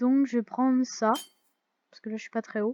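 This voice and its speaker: The sound is dry and close, with no echo. The intonation stays fairly even. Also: woman. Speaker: gaming youtuber. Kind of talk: let's play commentary. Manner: loud; hesitant, many fillers.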